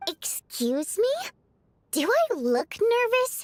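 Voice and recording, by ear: Putting on a squeaky character voice, a woman speaks very slowly at an extremely high pitch with very wide pitch swings.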